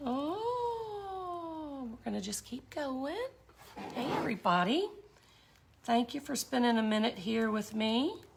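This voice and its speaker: A woman speaks very slowly in a high voice with very wide pitch swings, over noticeable background noise. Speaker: glass and resin art teacher. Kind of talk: tutorial. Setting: live stream. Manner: chatty, informal.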